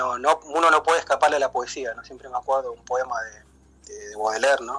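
A man is speaking. His pace is fairly quick. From Buenos Aires suburbs, Quilmes. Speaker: poet and baker. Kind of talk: interview. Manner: halting, many fillers.

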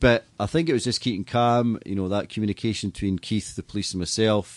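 With a Scottish accent, a man speaks with ordinary pitch variation in a dry, close sound with no echo. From Scotland. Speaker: stadium PA announcer and entertainment business owner. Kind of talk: casual interview. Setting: studio. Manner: fast.

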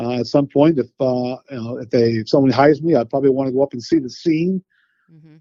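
Man with an American accent, medium pitch and a plain, everyday voice. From Boston, Massachusetts. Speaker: use-of-force consultant, retired police. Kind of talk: interview conversation.

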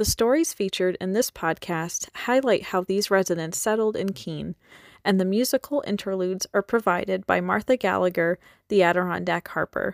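A woman with an unremarkable speaking voice and an American accent, medium pitch, ordinary pitch variation and moderate pace, in a dry, close sound with no echo on a very clean recording with a silent background. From New York State. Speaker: podcast host and graduate intern. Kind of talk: scripted narration.

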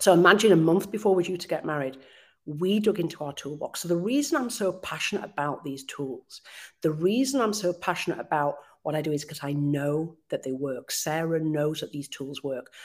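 A woman with a very deep, low pitch and lively intonation speaks at a moderate pace in a very clean recording with a silent background. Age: 50s. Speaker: hypnotherapist and life coach. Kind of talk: live audio chat interview. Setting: live audio room.

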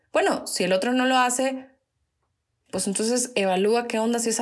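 A woman's fairly high voice at a fairly quick pace, in a very clean recording with a silent background. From northern Mexico. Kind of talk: devotional talk. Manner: loud.

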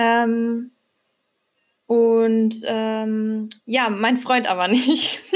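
A woman speaks at a very slow pace with a fairly high pitch. Her intonation is monotone and flat. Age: 20s. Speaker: podcast co-host, macramé artist. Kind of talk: casual chat.

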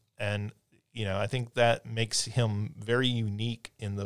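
A man with a normal speaking voice talks at a moderate pace and fairly low pitch with fairly even intonation, in a dry, close sound with no echo on a very clean recording with a silent background. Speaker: podcast host and university faculty member. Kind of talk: interview conversation.

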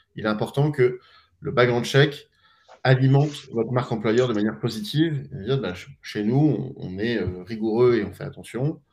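Somewhat breathy, a man talks at a medium pitch. His pace is moderate and his pitch variation ordinary. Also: big swings in loudness. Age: 40s. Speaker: startup co-founder. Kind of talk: live stream interview.

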